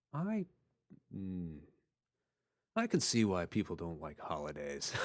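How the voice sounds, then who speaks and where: An American man speaks with a very deep, low pitch and ordinary pitch variation. His pace is fairly slow. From Texas, Houston. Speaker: podcast co-host, author. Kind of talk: casual chat. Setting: studio.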